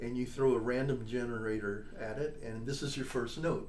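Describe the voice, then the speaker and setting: A man talks at a moderate pace and medium pitch. Noticeable background noise and audible room echo surround him. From US Midwest. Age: 70s. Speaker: trombonist and composer. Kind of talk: interview.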